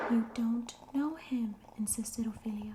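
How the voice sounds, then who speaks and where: A soft-spoken woman talks with fairly even intonation amid noticeable background noise. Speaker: ASMR creator. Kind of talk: ASMR book reading.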